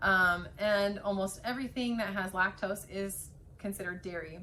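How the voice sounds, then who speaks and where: Bright and sharp in tone, the voice carries an American accent. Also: woman. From central US. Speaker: health vlogger. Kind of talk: informal tutorial. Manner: casual, many fillers.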